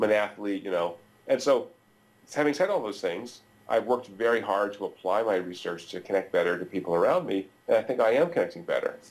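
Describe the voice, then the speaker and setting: The man speaks at a fairly quick clip with ordinary pitch variation. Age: 50s. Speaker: neuroeconomics professor. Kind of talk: interview. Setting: video call. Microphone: video call.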